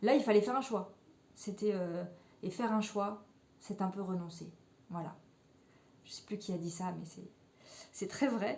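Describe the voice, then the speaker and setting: A woman with a medium-pitched, somewhat breathy voice speaks at a fairly slow pace with ordinary pitch variation, big swings in loudness, and long, frequent pauses. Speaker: knitting podcaster. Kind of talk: casual chat. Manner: hesitant, many fillers.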